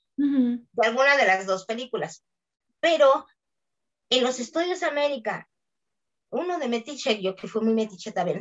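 Using lively intonation, a woman with a Mexican accent speaks in a high pitch. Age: 60s. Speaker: voice actress. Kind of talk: interview.

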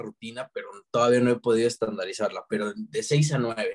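A man with a Mexican accent is heard in a dry, close sound with no echo. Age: 20s. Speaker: book content creator. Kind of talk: casual chat.

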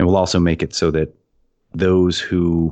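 A man speaks with a Canadian accent. His pitch is very deep and low, over a quiet background. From Canada. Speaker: game designer and podcast co-host. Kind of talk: casual chat.

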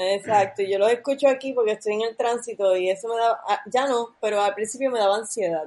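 A woman speaks at a fairly quick pace, her fairly high voice carrying fairly even intonation. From Puerto Rico, near Levittown. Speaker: film director. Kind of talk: casual chat. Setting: online call.

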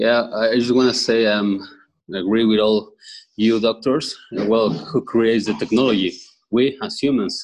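A man speaks with a Spanish accent. His intonation stays fairly even. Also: medium pitch for a man, moderate pace.

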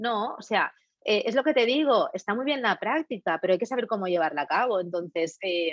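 A woman with a fairly high pitch speaks at a fairly quick pace, her pitch swinging very widely, in a dry, close sound with no echo. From Catalonia, Spain. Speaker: facialist, beauty business owner. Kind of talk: casual interview.

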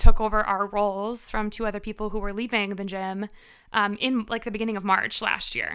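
In an American accent, a woman talks at a moderate pace with a fairly high pitch, a bright, sharp tone and big swings in loudness, on a very clean recording with a silent background. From Chicago suburbs, Illinois. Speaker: fitness instructor and gym manager. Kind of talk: casual interview chat.

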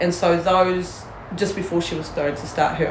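A woman's fairly quick speech amid noticeable background noise. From New Zealand (Māori, Porirua). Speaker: hunting guide and Māori community advocate. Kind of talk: casual chat. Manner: animated.

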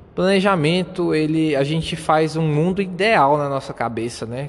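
A man speaks with a Brazilian accent at a moderate pace. His pitch is fairly high. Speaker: podcaster. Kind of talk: motivational monologue. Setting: outdoors.

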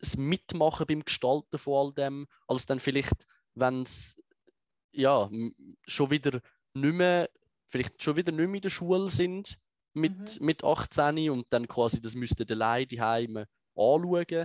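A man speaks at a very slow pace with long, frequent pauses, his voice fairly high for a man, with ordinary pitch variation in a dry, close sound that has no echo. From Switzerland, Biel and Zurich lake area. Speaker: political activist and video explainer. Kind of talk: interview conversation.

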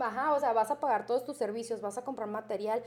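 This woman has an unremarkable speaking voice with fairly high pitch. Her intonation stays fairly even. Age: 30s. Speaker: tattoo artist. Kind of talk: interview. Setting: tattoo studio.

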